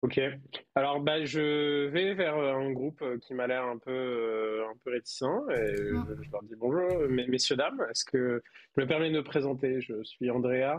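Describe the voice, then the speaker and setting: A man talks at medium pitch with ordinary pitch variation. His pace is fairly slow. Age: 30s. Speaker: IT worker, tabletop role-playing player. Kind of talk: tabletop role-playing actual play. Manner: hesitant, many fillers.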